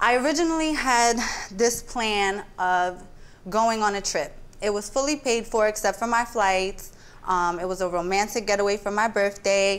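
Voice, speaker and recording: Her pitch varies in an ordinary way as the woman speaks at a moderate pace. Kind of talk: courtroom testimony, casual. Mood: playful, confident, animated. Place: stage.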